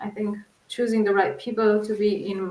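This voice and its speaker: A woman speaks with a Portuguese accent. Her pitch sits fairly high. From Portugal. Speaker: researcher. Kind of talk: interview.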